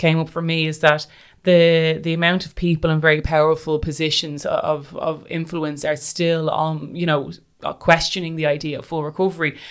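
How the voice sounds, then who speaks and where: A woman's fairly low voice in an Irish accent, flat and monotone in intonation. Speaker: podcast host. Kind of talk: interview. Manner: halting.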